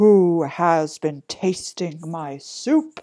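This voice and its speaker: Middle-pitched, put-on character voice. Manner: cross.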